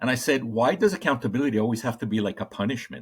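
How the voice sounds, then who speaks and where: A man's medium-pitched voice comes through on a very clean recording against a silent background. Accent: slight Colombian. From Colombia. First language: Spanish. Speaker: corporate trainer. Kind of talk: podcast interview. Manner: halting, many fillers.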